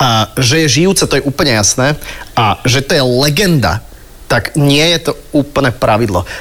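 In an ordinary speaking voice, a man talks at a moderate pace with fairly high pitch, lively intonation and very even loudness. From Slovakia, Bratislava. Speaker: podcast host. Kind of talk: casual chat.

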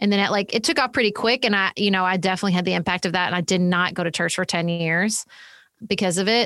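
A woman with a Southern US accent, medium pitch, very fast pace and very even loudness, in a dry, close sound with no echo and a very clean recording, silent background. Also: fairly even intonation. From US South. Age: 40s. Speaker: political podcast host and author. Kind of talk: casual interview conversation.

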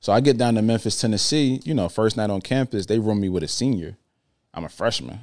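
A man with an American accent at a very fast pace and fairly low pitch, on a very clean recording with a silent background. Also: ordinary pitch variation. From New Jersey. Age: 30s. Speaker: motivational speaker and author. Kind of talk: casual interview.

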